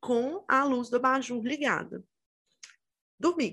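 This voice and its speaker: A woman speaks very slowly in a high, bright and sharp voice, recorded very cleanly against total silence. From Minas Gerais, Brazil (Itabira). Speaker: podcast co-host. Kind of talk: casual chat.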